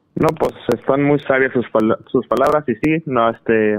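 Recorded with a dry, close sound and no echo, a man talks at a fairly slow pace with ordinary pitch variation. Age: 20s. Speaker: caller. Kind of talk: personal story on call-in show.

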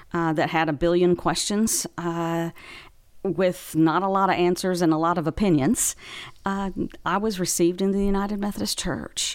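Speaking in an American accent, a woman has a plain, everyday voice at a fairly low pitch, with ordinary pitch variation and a moderate pace. The recording is very clean, with a silent background. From Far West Texas, Big Spring. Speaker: bishop. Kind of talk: casual chat.

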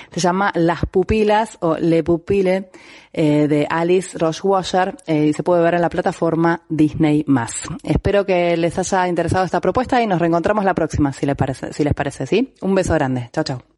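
A woman talks at a moderate pace in a fairly low voice with ordinary pitch variation. Noticeable background noise sits behind her. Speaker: film columnist. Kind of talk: film recommendation segment.

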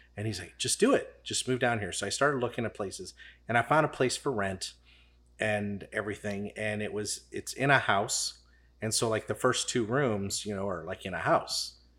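A man with an American accent speaks at a moderate pace in a fairly low pitch, with a bright, sharp tone. His pitch variation is ordinary, and the recording is very clean with a silent background. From St. Charles County, Missouri. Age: 40s. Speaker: barber, barbershop owner. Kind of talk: casual interview chat. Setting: studio.

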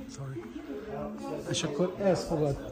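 A man with a fairly high pitch and lively intonation speaks over noticeable background noise. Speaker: vlogger. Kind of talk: travel vlog. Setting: outdoors. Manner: halting.

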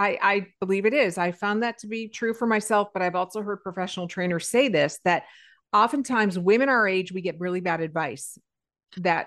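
Against a quiet background, a woman speaks at a medium pitch and moderate pace. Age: 50s. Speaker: podcast host. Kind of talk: casual chat. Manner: animated.

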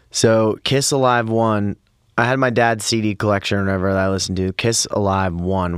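A man with an unremarkable speaking voice talks at a fairly quick pace with an American accent, his fairly low pitch showing ordinary variation. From Pennsylvania. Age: 30s. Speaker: singer and musician. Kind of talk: casual chat. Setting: studio.

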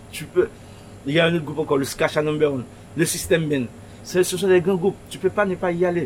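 At a very fast pace, a man speaks at a high pitch with ordinary pitch variation. Long pauses come often between his words. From Haiti, Pétionville. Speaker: shop owner. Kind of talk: interview. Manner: halting.

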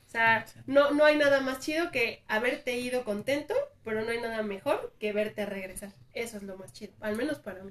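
This is a plain, everyday voice. A woman with a fairly high pitch talks at a fairly quick pace, with ordinary pitch variation and big swings in loudness. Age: 30s. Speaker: tattoo artist. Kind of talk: casual chat.

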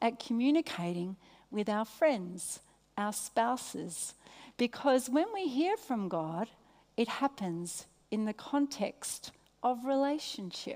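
A woman speaks at a fairly slow pace with a warm tone. Her pitch is high, and her intonation is lively. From Australia. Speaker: preacher, guest speaker at church. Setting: stage, church service. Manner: warm, conversational, engages audience.

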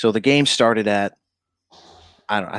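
A man speaks in an upstate New York accent. The recording is very clean and dry, close, with a silent background and no echo. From upstate New York (Syracuse area). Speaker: TV reporter. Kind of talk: casual chat.

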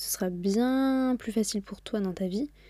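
A woman's somewhat breathy, dark, mellow voice with ordinary pitch variation. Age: 20s. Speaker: podcast host. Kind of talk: solo motivational monologue. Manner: casual, chatty.

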